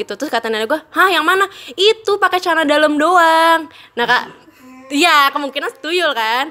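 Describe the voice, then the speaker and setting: A woman's high-pitched, raised and projected voice, bright and sharp in tone, with lively intonation at a fairly quick pace. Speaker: guest storyteller. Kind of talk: casual storytelling. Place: home room. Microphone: studio mic.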